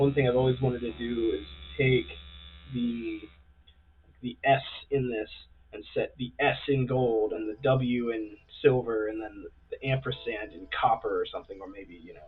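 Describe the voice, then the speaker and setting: A quiet man speaks at a moderate pace, with big swings in loudness and long, frequent pauses. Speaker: gun engraver. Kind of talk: tutorial. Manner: soft-spoken; too quiet.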